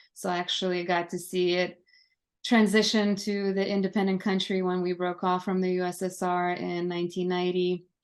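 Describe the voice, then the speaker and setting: In a Lithuanian accent, a woman at medium pitch speaks at a fairly quick pace with monotone, flat intonation against a quiet background. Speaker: army veteran. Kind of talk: podcast interview.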